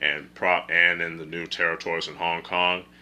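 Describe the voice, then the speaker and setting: This man's pitch is very deep and low, with vocal fry and a bright, sharp tone. He moves at a moderate pace with ordinary pitch variation. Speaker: film reviewer. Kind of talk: casual video review. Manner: halting, self-correcting.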